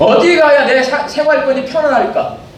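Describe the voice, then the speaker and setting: The speaker talks at a fairly quick pace with ordinary pitch variation, with audible room echo and noticeable background noise. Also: man. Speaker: senior pastor. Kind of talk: sermon. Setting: church.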